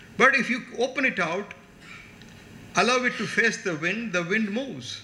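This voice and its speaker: A man with a high pitch uses a raised, projected voice at a moderate pace, with ordinary pitch variation. Noticeable background noise and audible room echo fill the recording. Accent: Tamil. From India, Tamil Nadu. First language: Tamil. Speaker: chief guest speaker. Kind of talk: lecture. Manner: animated.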